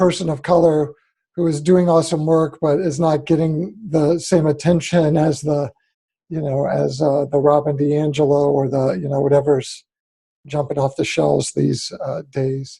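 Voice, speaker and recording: Speaking at a moderate pace, a man uses a fairly high pitch with fairly even intonation. His tone is dark and mellow, and somewhat breathy. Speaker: host of panel discussion. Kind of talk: panel discussion on video call.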